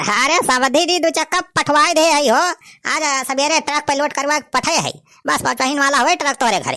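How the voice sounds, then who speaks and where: A woman speaks in a cartoonish character voice at a fairly quick pace. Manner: smooth, placating.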